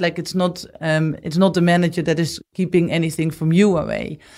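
On a very clean recording with a silent background, a woman with a Dutch accent speaks at a moderate pace and fairly low pitch with fairly even intonation. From Netherlands. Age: 40s. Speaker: business executive. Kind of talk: interview.

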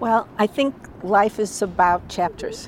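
With an American accent, an unremarkable speaking voice proceeds at a fairly slow pace with ordinary pitch variation. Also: woman. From US Midwest, Chicago. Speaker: former film studio head. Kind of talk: interview.

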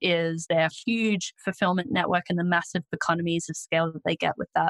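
A woman speaks with an Australian accent at a fairly low pitch, with ordinary pitch variation. The sound is dry and close, with no echo. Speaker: e-commerce agency founder and author. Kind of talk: interview conversation.

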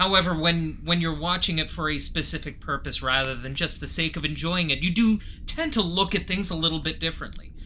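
The speech goes at a fairly quick pace, with ordinary pitch variation and noticeable background noise. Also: man, high pitch for a man. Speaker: podcast co-host. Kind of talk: casual chat.

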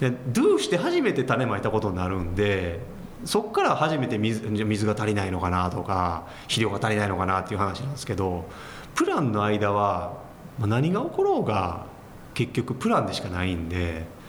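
Ordinary pitch variation from a man, set against noticeable background noise. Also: fairly low pitch for a man, moderate pace. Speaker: company president. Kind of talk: interview. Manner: calm, matter-of-fact.

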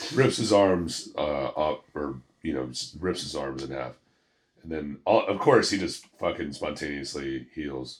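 A man speaks with a very deep, low pitch and lively intonation. Vocal fry runs through his voice. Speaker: podcast co-host. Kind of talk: casual chat.

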